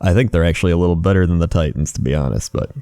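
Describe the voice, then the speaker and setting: Soft-spoken and dry, close with no echo, a man talks in a very deep, low pitch with a dark, mellow tone and ordinary pitch variation. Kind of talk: ASMR rambling.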